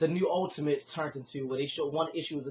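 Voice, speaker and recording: Somewhat breathy delivery comes at a very fast pace with fairly even intonation. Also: man. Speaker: comic book reviewer. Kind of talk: casual video review. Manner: halting, many fillers and restarts.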